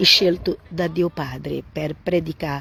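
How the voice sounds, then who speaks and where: A woman with a Portuguese accent, very deep and low in pitch, very slow in pace, and monotone with flat intonation. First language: Portuguese (speaking Italian). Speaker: Bible teacher. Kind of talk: Bible reading and commentary livestream. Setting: Facebook live stream. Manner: halting.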